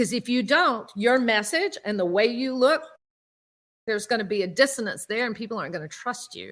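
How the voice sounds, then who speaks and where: A woman with a Southern US accent, fairly high-pitched, at a fairly quick pace. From US South. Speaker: public speaking coach. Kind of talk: workshop presentation. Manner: energetic, repetitive filler (all right).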